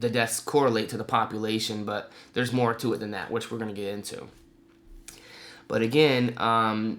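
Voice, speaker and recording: A man's medium-pitched voice at a moderate pace, with fairly even intonation and long, frequent pauses. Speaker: political commentary video creator. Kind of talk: explainer monologue presenting statistics. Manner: hesitant, many fillers.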